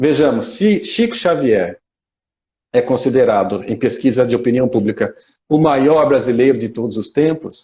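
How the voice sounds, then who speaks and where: A man's somewhat breathy, medium-pitched voice with lively intonation. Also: moderate pace. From Mato Grosso, Brazil. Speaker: spiritist lecturer. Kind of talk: lecture. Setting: live stream.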